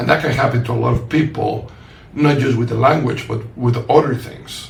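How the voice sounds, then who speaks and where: Through audible room echo and noticeable background noise, a man speaks at a medium pitch. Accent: strong non-native. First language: not English. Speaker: podcast host and author. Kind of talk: casual conversation. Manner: halting.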